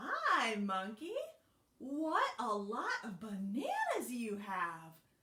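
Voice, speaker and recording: In a put-on character voice with a fairly high pitch, a woman speaks at a very slow pace. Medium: read story. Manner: scheming, coaxing.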